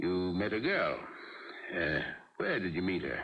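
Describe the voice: A man does a put-on character voice with a low pitch and big pitch swings. He goes at a fairly slow pace, with audible room echo in the room.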